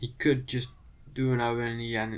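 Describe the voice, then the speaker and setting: A man with a Dutch accent talks at a moderate pace and medium pitch in a flat, monotone delivery. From Netherlands. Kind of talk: casual commentary video on language.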